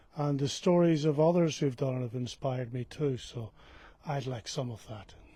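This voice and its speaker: A man with an Irish accent speaks at a moderate pace in a dark, mellow, somewhat breathy tone with ordinary pitch variation. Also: fairly high pitch for a man. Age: 60s. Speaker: pilgrim. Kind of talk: interview.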